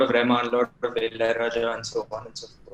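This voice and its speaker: A man speaks with a Tamil accent. His tone is bright and sharp. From Tamil Nadu, India. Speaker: bassist in a band. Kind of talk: podcast interview. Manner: hesitant, many fillers.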